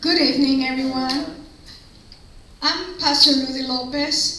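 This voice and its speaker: A raised, projected voice with fairly even intonation at a fairly slow pace, plus audible room echo and noticeable background noise. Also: woman, high pitch for a woman. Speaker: school board candidate. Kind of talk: campaign speech.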